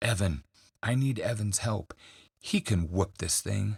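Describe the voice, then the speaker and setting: A raspy, put-on character voice speaks at a fairly slow pace. The recording is very clean, silent in the background, and dry and close with no echo. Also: man, fairly low pitch for a man. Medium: read story. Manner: nervous, excitable.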